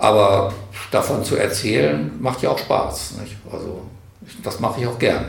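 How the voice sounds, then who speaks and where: Lively intonation with big swings in loudness at a fairly slow pace, amid audible room echo and noticeable background noise. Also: man, fairly low pitch for a man. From northern Hesse, Germany (Karlshafen on the Weser). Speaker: retired teacher and community organizer. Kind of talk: interview.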